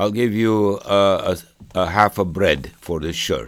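On a very clean recording with a silent background, a man speaks at a very slow pace. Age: 80s+. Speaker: Holocaust survivor. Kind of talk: oral history interview. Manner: halting.

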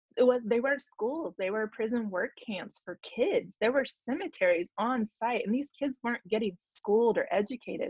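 A woman's fairly high-pitched, unremarkable speaking voice with ordinary pitch variation, a moderate pace and hardly any pauses. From Oklahoma. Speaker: Native breastfeeding advocate and student midwife. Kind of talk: interview conversation.

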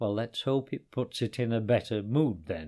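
On a very clean recording with a silent background, a man uses a put-on, growling character voice at a medium pitch. His intonation is lively and his pace moderate. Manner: wry, dry.

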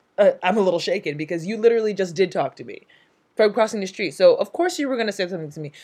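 A woman at a medium pitch, dark and mellow in tone, very fast, with lively intonation and big swings in loudness. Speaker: podcast co-host. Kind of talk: casual chat. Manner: animated, joking.

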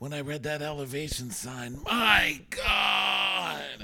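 A man with an American accent and a fairly high pitch is heard amid audible room echo and noticeable background noise. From Texas. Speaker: podcast host. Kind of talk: casual chat. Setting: hotel room.

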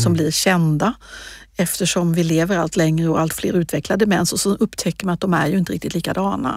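A woman's voice with ordinary pitch variation sits on a very clean recording against a silent background. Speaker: regional politician. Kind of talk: interview. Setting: podcast studio.

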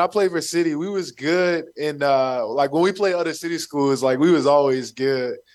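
A man with an American accent speaks at a moderate pace. His pitch varies in an ordinary way. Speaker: professional football player. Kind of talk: casual radio interview.

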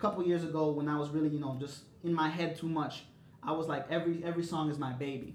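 A man speaks very fast with an American accent, his pitch fairly high. Noticeable background noise and audible room echo surround him. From Chicago. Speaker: music artist and DJ. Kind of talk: casual chat. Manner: animated.

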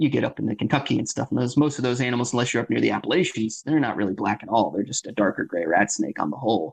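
A man with an American accent speaks at a very fast pace, barely pausing, his intonation lively and his voice showing vocal fry. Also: medium pitch for a man. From Florida, Seminole County (north Orlando area). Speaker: reptile breeder. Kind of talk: casual interview.

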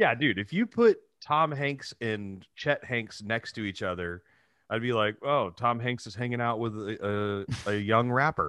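This man speaks at a fairly slow pace. His pitch is medium, with ordinary pitch variation. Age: 30s. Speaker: podcast co-host. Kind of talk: casual chat.

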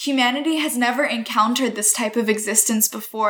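A woman with an American accent, high in pitch, with fairly even intonation. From US, Northern Virginia. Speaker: graduate student. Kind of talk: interview.

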